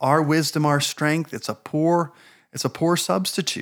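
Recorded very cleanly against a silent background, a man with a New Jersey accent speaks at a fairly high pitch. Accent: American, New Jersey. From New Jersey, US. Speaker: church board chair, minister. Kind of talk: interview, casual chat about faith.

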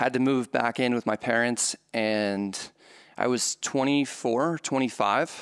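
In a dry, close recording with no echo, a man with an ordinary speaking voice talks fairly slowly at a medium pitch, with fairly even intonation and very even loudness. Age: 30s. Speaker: poker vlogger. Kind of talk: interview.

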